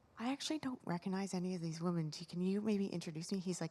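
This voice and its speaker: Soft-spoken speech comes through in a very clean recording with a silent background. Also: woman. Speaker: audience member asking a question. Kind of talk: audience question. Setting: conference room with audience.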